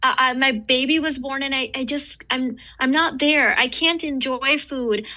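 A woman with a high pitch and a bright, sharp tone speaks in a raised, projected voice at a moderate pace, her intonation fairly even against a quiet background. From raised in the West, Eastern heritage family. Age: 40s. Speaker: author and entrepreneur. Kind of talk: casual interview chat.

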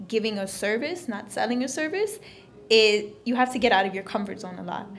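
Amid audible room echo and noticeable background noise, a woman with an American accent speaks at a moderate pace and a fairly high pitch. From Florida. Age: 20s. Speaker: entrepreneur. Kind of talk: interview. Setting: meeting room of a coffee shop.

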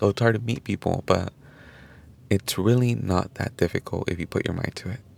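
A man speaks at a moderate pace. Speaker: podcast host. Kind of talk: casual solo podcast talk.

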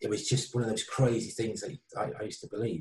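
At a moderate pace, a man speaks in a medium pitch. His tone is dark and mellow, and somewhat breathy. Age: 40s. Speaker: author and former addict. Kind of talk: interview testimony. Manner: halting.

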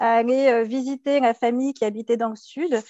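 A woman speaks high in her range, her intonation staying rather level. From Paris region, France. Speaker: interior architect and entrepreneur. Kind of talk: interview. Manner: halting, frequent repetitions and fillers.

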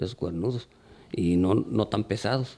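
A man is speaking. His voice has vocal fry. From Mexico, Tonalá, Jalisco (rural). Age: old. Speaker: charreria judge. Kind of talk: casual interview chat.

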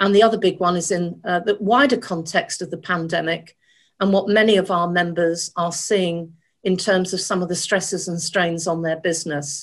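The voice is an unremarkable speaking voice at a moderate pace with fairly even intonation. The background is quiet. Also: woman, fairly low pitch for a woman. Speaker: risk management association director. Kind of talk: panel discussion.

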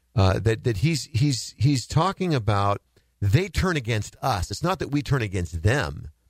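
A somewhat breathy man at medium pitch, very wide pitch swings, a fairly slow pace, and a very clean recording with a silent background. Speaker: radio host. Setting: studio.

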